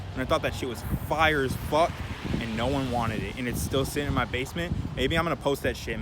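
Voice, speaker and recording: Through noticeable background noise and audible room echo, a man with a medium pitch talks at a very fast pace. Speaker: thrift clothing reseller, vlogger. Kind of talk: casual Q&A vlog. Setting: outdoors.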